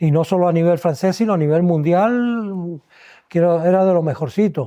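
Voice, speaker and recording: At a fairly slow pace, a man talks in a dark, mellow tone with ordinary pitch variation. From Las Palmas de Gran Canaria, Canary Islands, Spain. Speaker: retired ENT doctor (otorhinolaryngologist). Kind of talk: podcast interview answer, reminiscing.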